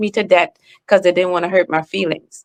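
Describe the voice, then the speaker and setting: A woman speaks with a strong Trinidadian accent. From Trinidad and Tobago. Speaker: author and speaker. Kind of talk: podcast interview. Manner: animated.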